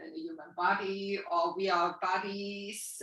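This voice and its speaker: Speaking at a very slow pace, a woman talks with a German accent. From Germany. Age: 60s. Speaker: spiritual healer and coach. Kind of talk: interview answer.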